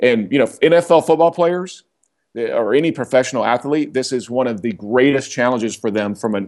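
An American-accented man with an unremarkable speaking voice talks at a fairly quick pace and medium pitch with lively intonation. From Oklahoma. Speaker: leadership consultant and author. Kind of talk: interview. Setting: call.

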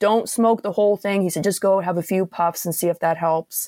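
A woman speaks with a Nova Scotian accent at a moderate pace, with ordinary pitch variation. The sound is dry and close with no echo, on a very clean recording over a silent background. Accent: Nova Scotian Canadian English. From Nova Scotia, Antigonish area. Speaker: tarot reader. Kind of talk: casual chat.

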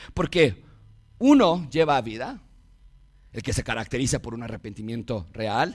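Using lively intonation, a man with a Mexican accent talks at a moderate pace. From Mexico. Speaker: pastor. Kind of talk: sermon.

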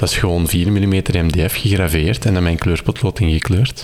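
A man's very deep, low pitch with ordinary pitch variation at a fairly slow pace, over noticeable background noise. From Belgium, Kempen (Campine). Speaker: maker and electronics hobbyist. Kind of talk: casual interview. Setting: at home in living room.

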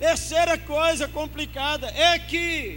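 Very slowly, a man talks in a room with audible echo. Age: 60s. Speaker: pastor. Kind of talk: sermon. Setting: church.

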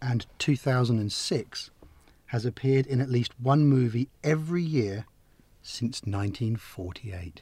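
A man talks at medium pitch, somewhat breathy, with lively intonation. His pace is very slow. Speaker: co-host film fan. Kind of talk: casual chat.

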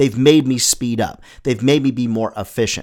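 In a very clean recording with a silent background, a man with a medium pitch and ordinary pitch variation speaks in an animated tone. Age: 50s. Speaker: sales coach and podcast host. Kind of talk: solo podcast coaching monologue. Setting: studio.

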